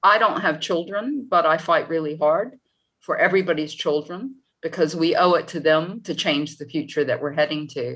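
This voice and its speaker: A woman with a plain, everyday voice speaks in an American accent at a moderate pace, her fairly low pitch showing ordinary variation. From United States. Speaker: tourism academic. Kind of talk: panel discussion.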